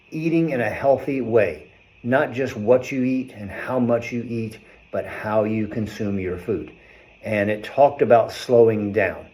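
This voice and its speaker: At a fairly slow pace, a man speaks at medium pitch with ordinary pitch variation and an ordinary speaking voice. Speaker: chiropractor. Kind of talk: health talk video.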